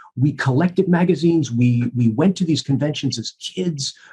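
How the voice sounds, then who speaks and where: With an American accent, a man speaks in a fairly high, somewhat breathy voice with lively intonation. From US Northeast, New York (Bronx). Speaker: professor of communications and convention host. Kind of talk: podcast interview. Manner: halting, many repeated words.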